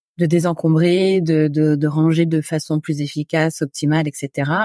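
A woman's very deep, low voice with a dark, mellow tone, dry and close with no echo. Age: 40s. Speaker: podcaster and home organizing expert. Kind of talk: casual chat. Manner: hesitant, many fillers.

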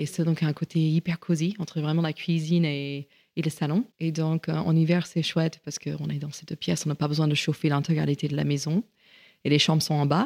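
The pace is fairly quick and the intonation fairly even, on a very clean recording with a silent background. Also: woman, very deep, low pitch for a woman. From US, rural Virginia. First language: English (speaking French). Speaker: chef and caterer. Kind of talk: interview. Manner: halting.

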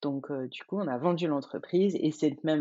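This woman's voice sits very deep and low. She keeps the intonation fairly even. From France, Burgundy near Dijon. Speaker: life coach and entrepreneur. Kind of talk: interview, casual chat.

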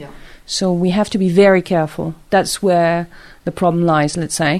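A woman with a French accent speaks at a moderate pace in a medium pitch, with ordinary pitch variation. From Monaco. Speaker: interpreter. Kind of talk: interview.

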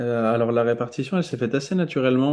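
A man with a dark, mellow tone speaks with ordinary pitch variation over a quiet background. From France, Touraine (Tours). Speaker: restaurant owner and baker. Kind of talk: casual interview.

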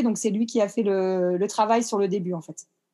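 Her tone dark and mellow, a woman speaks with ordinary pitch variation over a quiet background. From France, Le Havre (Normandy). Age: 30s. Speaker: dance teacher. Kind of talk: interview.

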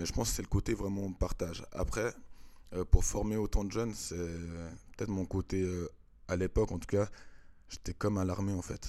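A man's very deep, low voice with a dark, mellow tone, at a moderate pace and fairly even intonation, with long, frequent pauses on a very clean recording with a silent background. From Switzerland, Vevey (French-speaking). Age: 30s. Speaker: dancer and choreographer. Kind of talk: casual interview.

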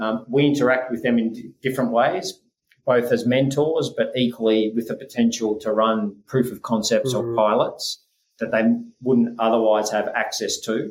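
A man with an Australian accent speaks at medium pitch. His pace is moderate and his intonation fairly even. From Scotland, raised in Australia. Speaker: tennis sports scientist and venture investor. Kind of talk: interview. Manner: hesitant, many fillers.

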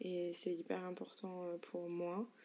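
A woman speaks very slowly in a monotone, flat way, her voice dark and mellow with a fairly low pitch. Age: 20s. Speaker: solo podcaster. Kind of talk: introspective solo monologue. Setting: bedroom at home.

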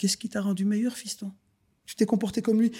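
Speaking very fast, a man with a high pitch and a dark, mellow tone comes through on a very clean recording with a silent background. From Brussels, Belgium (Schaerbeek). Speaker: luxury furniture business owner. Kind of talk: interview.

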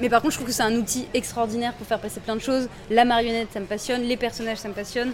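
A woman's fairly high-pitched voice. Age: young. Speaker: ventriloquist. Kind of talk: interview. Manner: casual and animated.

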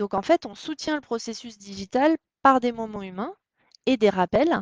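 With a dry, close sound and no echo, an ordinary speaking voice keeps a moderate pace and lively intonation. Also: woman. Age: 30s. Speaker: startup co-founder. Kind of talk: interview.

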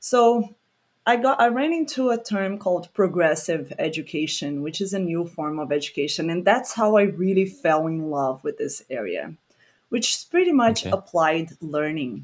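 Over a silent background in a very clean recording, someone speaks with a Portuguese accent. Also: woman, fairly low pitch for a woman, lively intonation, moderate pace. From Brazil, Rio de Janeiro. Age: 30s. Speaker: environmental educator. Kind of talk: casual chat.

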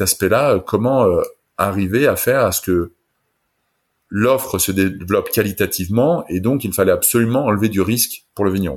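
Heard on a very clean recording with a silent background, a normal speaking voice moves at a fairly quick pace with ordinary pitch variation. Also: man. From France. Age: 40s. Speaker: wine entrepreneur. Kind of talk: interview.

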